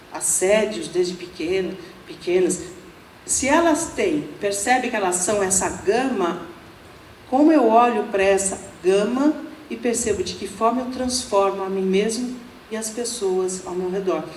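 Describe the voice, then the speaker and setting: A woman with lively intonation at a fairly slow pace, long, frequent pauses, audible room echo and noticeable background noise. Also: medium pitch for a woman. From Brazil, São Paulo. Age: 60s. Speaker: Buddhist nun, speaker. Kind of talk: lecture. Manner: casual, humorous.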